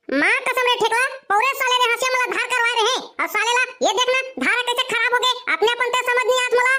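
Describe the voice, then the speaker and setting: A cartoonish character voice from a woman, extremely high-pitched, very fast and fairly even in intonation. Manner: whiny, swears by mother.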